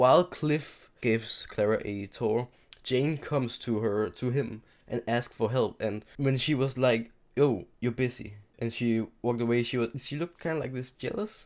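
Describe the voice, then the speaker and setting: A man talks quietly at a moderate pace. His pitch is medium, with ordinary variation. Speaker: YouTube TV show reviewer. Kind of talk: casual video review. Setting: home recording at night, seated in chair. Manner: quiet, keeping voice down at night; halting, repeats and restarts words.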